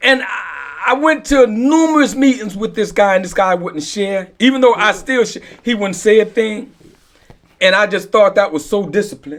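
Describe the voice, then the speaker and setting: Pitched high, a man talks at a moderate pace with lively intonation. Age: 50s. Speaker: recovery podcast co-host. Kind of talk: casual group discussion. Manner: repetitive, halting with filler phrases.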